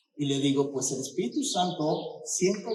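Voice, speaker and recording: Audible room echo surrounds the speech. The man's pitch is fairly high. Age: 60s. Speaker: pastor. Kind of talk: sermon. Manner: animated.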